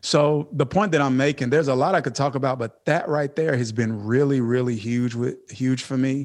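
A man speaks at a medium pitch with a Southern US accent and ordinary pitch variation. His moderate pace has hardly any pauses, over a quiet background. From US South, Mississippi. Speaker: pastor. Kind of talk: interview. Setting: video call.

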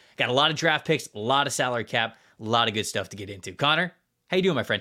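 Very fast and bright, a man's sharp-toned voice swings widely in pitch and carries vocal fry, on a very clean recording with a silent background. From Florida. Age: 30s. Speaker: football podcast host. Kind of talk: casual chat.

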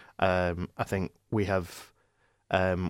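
A man's very deep, low voice on a very clean recording with a silent background. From Ireland. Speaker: football fan pundit. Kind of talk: casual chat. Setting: studio. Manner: halting, many fillers.

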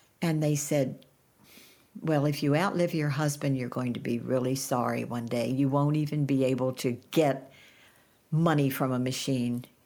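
Her pitch very deep and low, a woman speaks at a moderate pace in a dark, mellow tone with fairly even intonation. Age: 80s+. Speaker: author. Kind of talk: casual chat.

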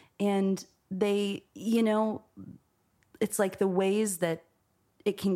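A woman with an American accent talks at a very slow pace and a medium pitch. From New York City, East Village. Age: 20s. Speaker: musician. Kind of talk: casual chat. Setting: host's apartment.

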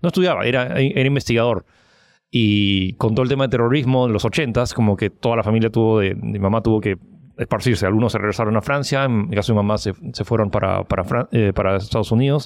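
A man talks at a very fast pace at a medium pitch, with ordinary pitch variation and very even loudness, against a quiet background. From Peru. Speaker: online giveaway entrepreneur. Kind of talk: interview. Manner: halting.

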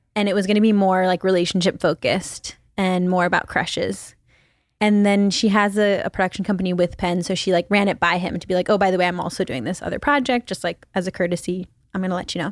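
Against a silent background in a very clean recording, a woman with a medium pitch talks at a very fast pace. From Philippines (Manila). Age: 20s. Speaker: podcast host. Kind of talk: casual chat.

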